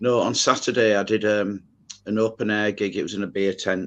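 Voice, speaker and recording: Against a quiet background, a man talks at a moderate pace with a fairly low pitch. His intonation stays monotone and flat. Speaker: singer. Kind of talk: casual chat. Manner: hesitant with many fillers.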